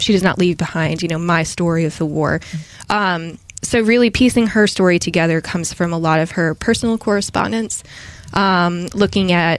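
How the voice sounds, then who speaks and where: A woman with an American accent speaks at a medium pitch and a moderate pace, showing ordinary pitch variation over noticeable background noise. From Massachusetts, near Boston. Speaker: historian. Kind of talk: casual interview.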